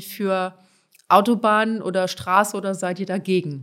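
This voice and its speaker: A woman speaks with an unremarkable speaking voice at a medium pitch and fairly even intonation. The recording is very clean, with a silent background. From Germany, Palatinate (Pfälzer Wald village). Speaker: politician. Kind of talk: podcast interview.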